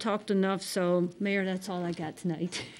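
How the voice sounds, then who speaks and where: A woman talks at a fairly quick pace. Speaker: vice mayor. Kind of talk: public meeting remarks. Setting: city commission meeting. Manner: fast.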